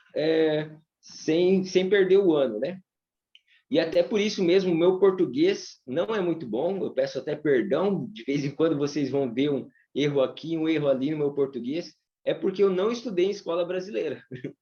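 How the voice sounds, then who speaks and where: The man's pitch varies in an ordinary way. His voice sits high. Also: moderate pace. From grew up abroad, Bolivia and US, Brazilian parents. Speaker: English teacher. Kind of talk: live online class. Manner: halting.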